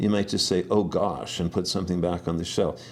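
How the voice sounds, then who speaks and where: A man's dark, mellow tone with a Canadian Prairies accent. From Saskatchewan, Canada. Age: 60s. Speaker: herbalist. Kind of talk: interview. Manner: halting.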